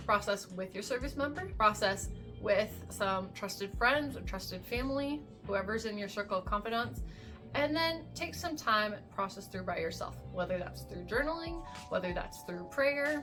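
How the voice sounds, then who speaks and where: With music playing in the background, a woman talks at a moderate pace in an American accent. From USA. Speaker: military spouse. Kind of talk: advice talk to camera.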